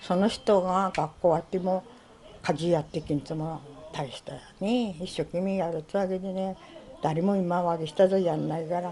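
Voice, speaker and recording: In a Tohoku accent, a woman speaks at a moderate pace with a fairly low pitch and fairly even intonation. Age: 70s. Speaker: former general store manager. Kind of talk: interview answer.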